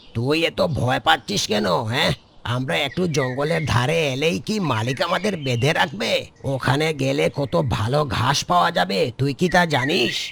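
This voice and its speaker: In a cartoonish character voice, a man speaks at medium pitch and a moderate pace. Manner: brash, taunting.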